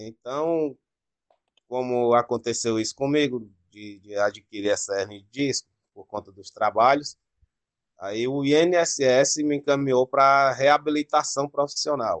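Speaking fairly slowly in a plain, everyday voice, a man at medium pitch uses ordinary pitch variation with big swings in loudness, and the sound is dry and close with no echo. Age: 30s. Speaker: adult education student. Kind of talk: casual interview.

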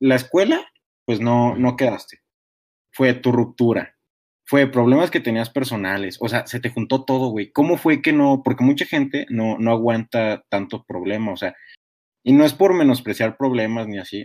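An ordinary speaking voice: a man of medium pitch at a moderate pace, ordinary pitch variation, on a very clean recording with a silent background. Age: young. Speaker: podcast host. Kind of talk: casual chat.

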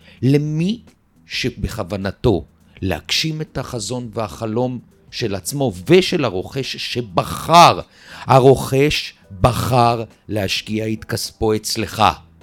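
Lively intonation comes through at a very slow pace, with noticeable background noise behind it. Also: man. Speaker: real estate developer. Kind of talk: interview.

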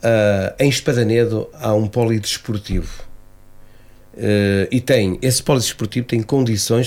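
In a very clean recording with a silent background, a man speaks at a fairly slow pace in a medium pitch, his dark, mellow tone carried by fairly even intonation. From Portugal, Cinfães area (Piães). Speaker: association president. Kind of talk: radio interview. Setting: radio studio. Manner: halting.

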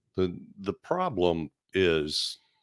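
The man has a very deep, low pitch. The recording is very clean, with a silent background. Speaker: podcast co-host, corrections worker. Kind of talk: casual chat. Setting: studio, filmed on camera. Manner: slow.

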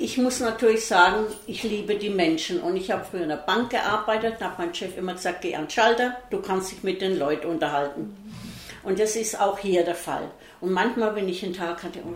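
A woman speaks at a medium pitch and a fairly quick pace. Room echo is audible, and there is noticeable background noise. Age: 70s. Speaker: bar owner. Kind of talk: casual interview. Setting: in a bar, two metres apart.

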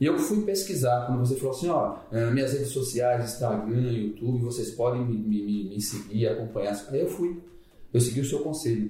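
A man speaks at a moderate pace and medium pitch, with ordinary pitch variation and very even loudness. Audible room echo and noticeable background noise are present. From Bahia interior, Brazil. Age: 50s. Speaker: fitness program participant. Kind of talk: casual chat. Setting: office.

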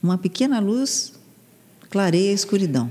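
A woman talks at a fairly quick pace and a medium pitch over noticeable background noise. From Santos, São Paulo state, Brazil. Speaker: TV presenter and journalist, communication coach. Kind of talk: casual chat. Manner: animated.

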